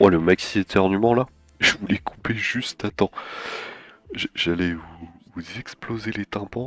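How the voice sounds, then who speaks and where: A man with a fairly low voice speaks at a fairly slow pace with long, frequent pauses, big swings in loudness and ordinary pitch variation, with music playing in the background. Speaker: 3D animation streamer. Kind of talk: livestream work session. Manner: casual, hesitant.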